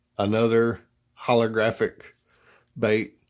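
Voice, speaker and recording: A man with a strong Southern US accent, at a very slow pace, on a very clean recording with a silent background. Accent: deep Southern. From US South. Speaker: fishing tackle reviewer. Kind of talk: product review. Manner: halting, many fillers.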